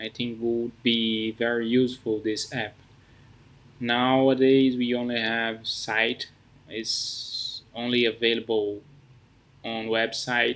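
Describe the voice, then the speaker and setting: A man with a non-native accent speaks very slowly in a medium pitch, his intonation flat and monotone. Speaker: app founder. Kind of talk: casual project introduction to camera.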